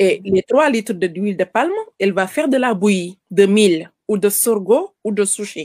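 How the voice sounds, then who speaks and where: A woman speaks at a fairly slow pace with ordinary pitch variation. The sound is dry and close, with no echo. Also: medium pitch for a woman. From Senegal. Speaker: caterer and farmer. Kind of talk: interview. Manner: halting.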